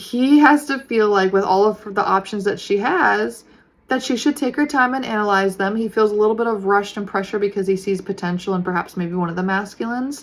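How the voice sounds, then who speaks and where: A woman with a medium pitch and ordinary pitch variation talks at a fairly quick pace. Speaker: tarot reader. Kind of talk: tarot reading monologue. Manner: fast; casual, many fillers.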